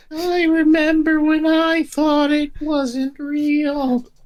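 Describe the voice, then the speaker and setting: A put-on character voice speaks with a high pitch. Its pace is very slow and its intonation monotone and flat. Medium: actual play. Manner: matter-of-fact, eerie.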